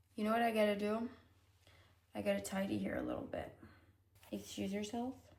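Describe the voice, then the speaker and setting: Noticeable background noise and audible room echo fill the recording. A woman talks fairly quickly. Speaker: vlogger. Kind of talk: casual vlog talk. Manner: animated.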